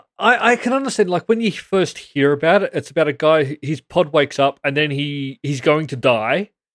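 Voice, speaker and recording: A man with an Australian accent, fairly high-pitched, at a fairly quick pace with hardly any pauses and lively intonation, on a very clean recording with a silent background. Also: dry, close sound with no echo. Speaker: podcast co-host. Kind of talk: casual chat.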